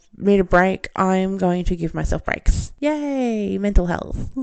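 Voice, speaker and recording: In an Australian accent, a woman speaks at a fairly slow pace with a dark, mellow tone and ordinary pitch variation. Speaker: podcast host, film reviewer. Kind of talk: solo podcast monologue.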